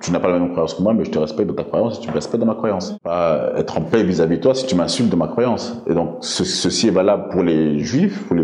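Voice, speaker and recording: A man speaks at a fairly quick pace with a very deep, low pitch. Noticeable background noise and audible room echo fill the recording. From Belgium, of Congolese origin. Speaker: interviewee. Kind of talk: interview. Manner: halting, many hesitations.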